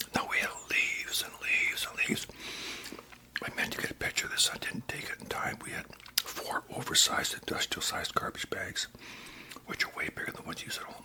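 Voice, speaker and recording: At a fairly quick pace, someone is whispering while noticeable background noise carries on. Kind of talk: casual talk to camera, whispered chat. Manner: whispered.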